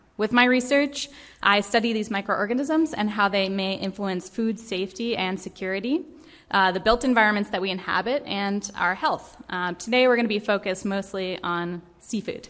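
In a very clean recording with a silent background, a woman with an American accent uses a normal speaking voice at medium pitch, with ordinary pitch variation and a moderate pace. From Vermont, US. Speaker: microbial ecologist. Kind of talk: lecture.

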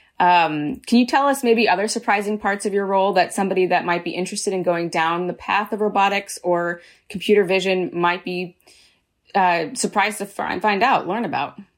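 At a fairly quick pace, a woman talks in an ordinary speaking voice of medium pitch with ordinary pitch variation. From San Diego, California. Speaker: podcast host. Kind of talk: interview.

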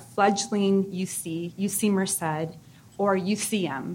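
Her pitch is medium and shows ordinary variation. This woman sounds somewhat breathy. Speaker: university professor. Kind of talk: conference lecture. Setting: stage with audience.

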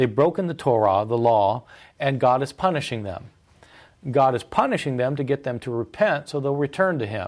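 A man with an American accent speaks in a fairly high voice with lively intonation. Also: very clean recording, silent background. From US Midwest, Kansas. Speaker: biblical scholar, professor. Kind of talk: interview. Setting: studio. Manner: frequent fillers and hesitations.

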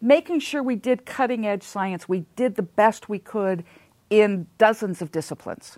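A woman with an American accent and an unremarkable speaking voice talks at a moderate pace, with lively intonation and a fairly high pitch. The sound is dry and close with no echo, in a very clean recording with a silent background. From Southern California. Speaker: seismologist. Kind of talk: interview.

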